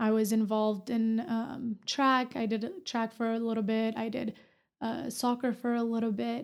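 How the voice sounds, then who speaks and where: A woman with a normal speaking voice speaks at a fairly high pitch and a moderate pace. Her intonation is fairly even, on a very clean recording with a silent background. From Afghanistan, raised in Amarillo, Texas from age six. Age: 20s. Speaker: medical student. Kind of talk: interview.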